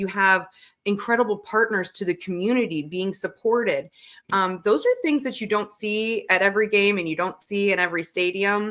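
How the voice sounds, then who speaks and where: With an American accent, a woman speaks in a normal speaking voice at a medium pitch. Her pace is moderate and her intonation fairly even. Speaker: radio DJ and stadium announcer. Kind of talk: podcast interview answer.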